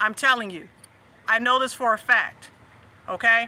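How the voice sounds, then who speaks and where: With an American accent, a woman talks at a fairly quick pace in a bright, sharp tone and high pitch. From US South. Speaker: livestream host and faith/family coach. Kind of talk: casual livestream chat.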